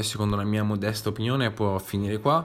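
A man's fairly low voice in monotone, flat intonation. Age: 20s. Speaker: podcast host, film reviewer. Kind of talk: solo film review monologue.

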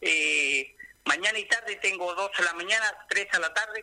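A man with a high pitch uses a raised, projected voice at a moderate pace, the sound dry and close with no echo. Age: 60s. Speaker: small business owner, cook. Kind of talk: radio interview.

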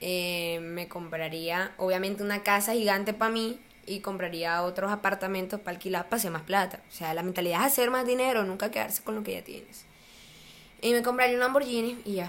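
A woman speaks in a plain, everyday voice at medium pitch. She talks at a fairly quick pace with ordinary pitch variation. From Colombia, small town. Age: 20s. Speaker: university student and social media user. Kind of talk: casual interview chat.

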